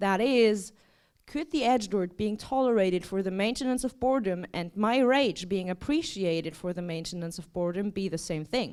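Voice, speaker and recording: A woman at a fairly quick pace with very wide pitch swings and a non-native accent, on a very clean recording with a silent background. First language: not English. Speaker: artist and writer. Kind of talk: performative lecture reading a text; casual intro remarks. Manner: casual, filler-heavy.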